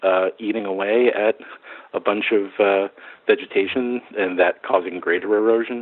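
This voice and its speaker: An unremarkable speaking voice from a man with an American accent, fairly low in pitch, at a moderate pace. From New Jersey. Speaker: think tank policy expert. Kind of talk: interview, policy discussion.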